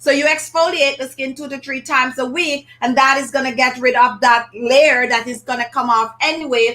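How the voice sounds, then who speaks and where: A woman's raised, projected voice in a Jamaican accent, high in pitch, at a moderate pace with ordinary pitch variation. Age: 50s. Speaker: beauty channel host. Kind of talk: live stream chat. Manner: casual, conversational.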